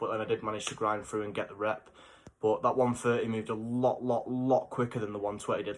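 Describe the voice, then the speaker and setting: Here a man with an English accent talks at a fairly quick pace. His pitch is fairly low. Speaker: fitness vlogger. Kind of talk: casual vlog. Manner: animated.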